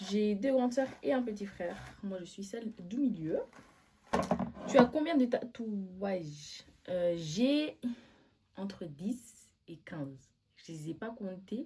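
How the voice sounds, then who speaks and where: Her intonation is lively throughout. The woman talks at a very slow pace. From Switzerland. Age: 20s. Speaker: vlogger. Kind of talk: casual chat. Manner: animated.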